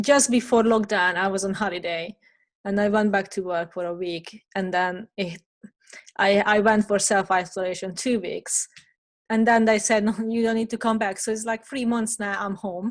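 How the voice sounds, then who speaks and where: A woman with a normal speaking voice and medium pitch speaks at a moderate pace with fairly even intonation. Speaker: podcast host. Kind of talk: casual podcast conversation.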